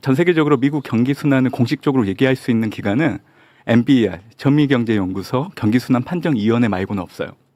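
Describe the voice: A man's dark, mellow, medium-pitched voice at a very fast pace, with ordinary pitch variation and a quiet background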